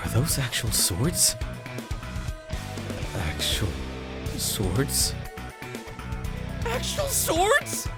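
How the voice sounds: Putting on a character voice, a man at a medium pitch talks at a very slow pace with very wide pitch swings and long, frequent pauses while clear music plays in the background.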